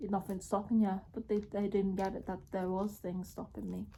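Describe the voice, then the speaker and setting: Speaking in a Liverpool accent, a woman uses a medium-pitched, somewhat breathy voice with a dark, mellow tone, flat monotone intonation and a moderate pace. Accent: local accent near Liverpool. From Merseyside area, northern England. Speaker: vlogger. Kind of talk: casual vlog talk to camera. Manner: halting, many fillers.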